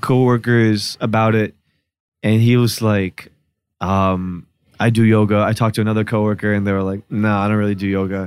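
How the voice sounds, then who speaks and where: A normal speaking voice with an American accent comes at a moderate pace. The recording is very clean, with a silent background. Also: man. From Newark, New Jersey. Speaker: journalist and podcast host. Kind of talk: casual chat. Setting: studio.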